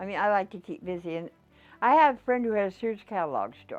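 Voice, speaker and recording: A woman with an American accent and lively intonation, music in the background. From Dakotas, US. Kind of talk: life story interview answer.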